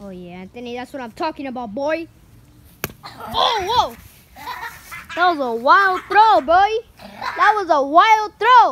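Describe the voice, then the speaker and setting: Very slow speech with long, frequent pauses and crowd noise in the background. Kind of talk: excited casual banter. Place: garden. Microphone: phone near.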